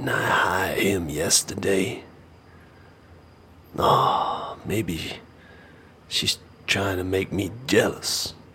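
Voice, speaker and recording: A man's put-on character voice, raspy and very deep, low-pitched, with fairly even intonation and a very slow pace. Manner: anxious, increasingly desperate.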